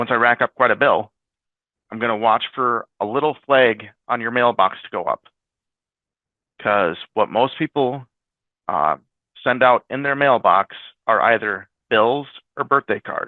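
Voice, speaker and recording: Speech comes at a fairly slow pace with long, frequent pauses and ordinary pitch variation. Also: man, medium pitch for a man. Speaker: IT staff presenter. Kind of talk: webinar presentation. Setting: webinar video call.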